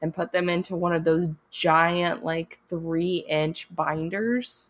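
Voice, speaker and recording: A woman speaks with a fairly low pitch and fairly even intonation. Her pace is very slow. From moved around as military child, US and Japan. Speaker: artist and author podcaster. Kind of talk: solo casual monologue.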